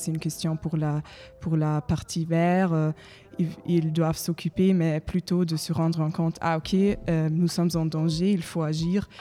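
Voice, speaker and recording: Over music in the background, a woman with a German accent speaks at a fairly slow pace in a fairly low voice. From Germany. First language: German (speaking French). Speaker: ecological volunteer, audience participant. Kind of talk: panel debate. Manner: halting.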